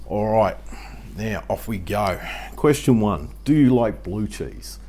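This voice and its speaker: Speaking with an Australian accent, the man keeps a moderate pace. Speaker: YouTube homesteading vlogger. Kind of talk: casual Q&A vlog. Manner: conversational, frequent fillers.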